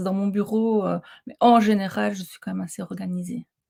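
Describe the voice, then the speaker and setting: A woman's voice, dry and close with no echo. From Belgium, Ardennes. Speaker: coach. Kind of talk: casual interview chat. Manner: animated.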